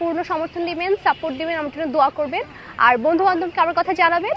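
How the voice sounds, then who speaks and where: Over noticeable background noise, a woman speaks at an extremely high pitch. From Bangladesh, Sirajganj (Ullapara). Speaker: student election candidate. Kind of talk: campaign appeal.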